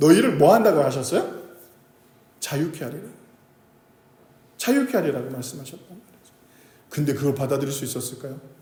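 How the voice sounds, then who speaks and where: Audible room echo follows a man who talks at a very fast pace. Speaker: pastor. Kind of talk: sermon. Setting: church service. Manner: conversational, asks audience questions.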